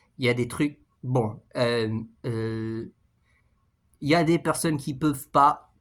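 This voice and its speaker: A man's medium-pitched voice at a fairly slow pace, ordinary pitch variation, very clean recording with a silent background. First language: English (speaking French). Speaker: YouTuber, language learner. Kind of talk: casual vlog monologue. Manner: halting, many fillers and repetitions.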